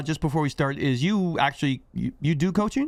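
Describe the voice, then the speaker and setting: Over a silent background on a very clean recording, a man talks fairly quickly in a fairly high voice with ordinary pitch variation. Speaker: gaming YouTuber, college professor. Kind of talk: casual chat. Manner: fast when excited.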